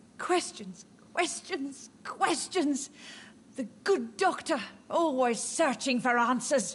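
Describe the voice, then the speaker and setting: A female-sounding, put-on character voice, high in pitch and very slow in pace. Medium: video game. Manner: cryptic, eerie.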